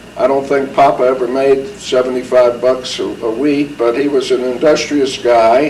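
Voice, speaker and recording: A man's fairly high voice in an American accent, fairly slow and fairly even in intonation, with audible room echo and noticeable background noise. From US Northeast, New Haven, Connecticut. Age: 70s. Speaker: war veteran. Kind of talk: oral history interview. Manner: halting.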